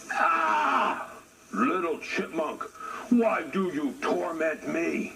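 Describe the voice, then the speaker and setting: A man's put-on character voice, high-pitched and growling, at a very slow pace over loud background noise. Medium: read story. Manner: slow, proud, blustering.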